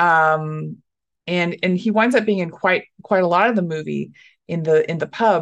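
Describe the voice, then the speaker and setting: A woman with an American accent speaks in a normal speaking voice at a moderate pace over a quiet background. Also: fairly low pitch for a woman, ordinary pitch variation. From Dallas, Texas. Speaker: stand-up comedian. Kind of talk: casual interview chat.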